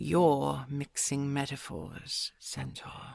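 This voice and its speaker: The put-on character voice is raspy, with a low-to-middle pitch. It moves at a very slow pace. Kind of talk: audio roleplay.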